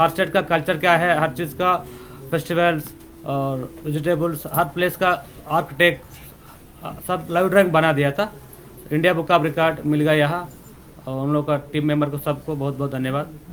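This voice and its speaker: With a plain, everyday voice, a man talks at a fairly high pitch and keeps his intonation fairly even. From Telangana, India. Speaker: artist. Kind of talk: press interview. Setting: press conference.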